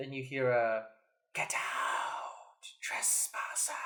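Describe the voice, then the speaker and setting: Someone delivers a put-on character voice at a very slow pace. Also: man, medium pitch for a man. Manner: spooky, menacing.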